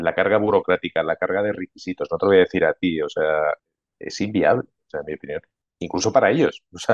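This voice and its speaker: A man talking at a very fast pace, with a dry, close sound and no echo. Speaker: IT consulting manager. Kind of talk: casual interview.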